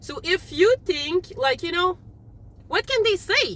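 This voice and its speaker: A woman speaks loudly at a moderate pace. Her tone is animated, with very wide pitch swings. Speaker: tarot reader. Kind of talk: tarot reading. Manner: casual, animated.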